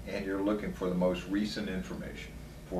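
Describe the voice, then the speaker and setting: A man's voice amid light background noise, with room echo clearly audible. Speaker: interviewee. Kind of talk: interview answer. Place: office.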